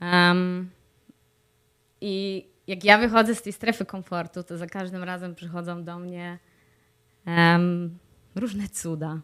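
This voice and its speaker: A woman with a fairly low pitch speaks at a very slow pace in a monotone, flat intonation, with long, frequent pauses and big swings in loudness. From Poland. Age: 30s. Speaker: vlogger. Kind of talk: video diary monologue. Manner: frequent fillers.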